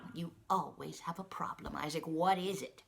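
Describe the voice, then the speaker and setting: A woman's put-on character voice, fairly low in pitch, at a moderate pace with fairly even intonation. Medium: read story. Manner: warm, folksy, calls people honey.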